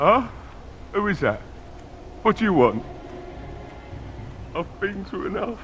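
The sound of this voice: A put-on character voice moves at a slow pace, with big pitch swings and a fairly bright tone. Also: man, high pitch for a man.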